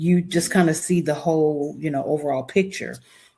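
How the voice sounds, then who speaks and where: With a North Carolina accent, a woman speaks at a very deep, low pitch. Noticeable background noise runs under her voice. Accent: Southern US (North Carolina). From US South, Charlotte, North Carolina. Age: 60s. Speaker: wedding officiant and planner. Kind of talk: podcast interview.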